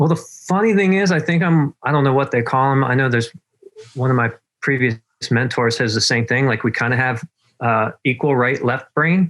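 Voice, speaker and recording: In an American accent, a man speaks at a fairly quick pace and medium pitch. His loudness stays very even while his pitch varies in an ordinary way. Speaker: marketing consultant, former actor and writer. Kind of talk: interview. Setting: video call from his back porch.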